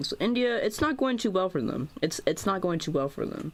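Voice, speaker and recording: A speaker with an American accent talks at a moderate pace on a very clean recording with a silent background. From United States. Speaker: YouTuber making geography mapping videos. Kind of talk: casual commentary over map video. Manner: halting, many fillers and false starts.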